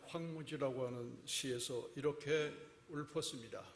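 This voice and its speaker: A man's fairly high, somewhat breathy voice at a very slow pace, with audible room echo. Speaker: guest preacher. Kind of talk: sermon. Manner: deliberately slow.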